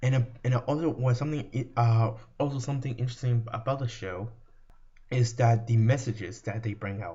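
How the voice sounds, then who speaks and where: The voice is a man's, somewhat breathy and medium in pitch. He keeps a moderate pace. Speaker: video creator, fan commentator. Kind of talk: commentary video monologue. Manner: halting, many repetitions and fillers.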